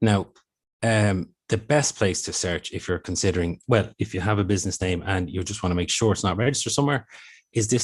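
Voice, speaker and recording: A man with an Irish accent speaks at a very fast pace and fairly low pitch, with ordinary pitch variation, over a quiet background. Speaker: intellectual property office official. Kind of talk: presentation.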